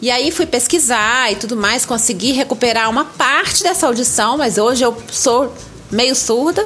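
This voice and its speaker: Noticeable background noise sits behind a woman with a Minas Gerais accent. Her high-pitched voice moves at a moderate pace with lively intonation. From Brazil, Minas Gerais. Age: 50s. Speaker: writer and content creator. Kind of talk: interview.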